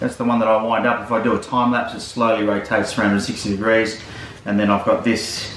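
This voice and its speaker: Over light background noise and with audible room echo, a man speaks at a fairly quick pace. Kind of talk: casual gear walkthrough vlog. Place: home room. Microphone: camera far.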